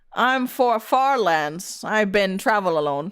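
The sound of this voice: In a put-on character voice, a woman talks fairly slowly at a medium pitch.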